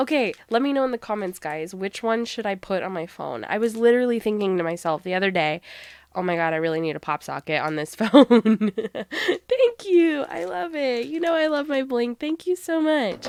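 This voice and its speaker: With an animated tone and a fairly high pitch, a woman speaks at a moderate pace with very wide pitch swings and hardly any pauses, in a dry, close sound with no echo. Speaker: crafting YouTuber. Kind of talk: casual happy mail unboxing.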